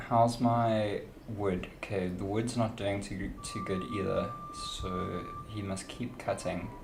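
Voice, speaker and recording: Speaking very slowly with a South African accent, a man has a fairly low pitch and fairly even intonation. Audible room echo and noticeable background noise surround him. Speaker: video game streamer. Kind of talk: live gaming stream commentary. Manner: casual, thinking aloud.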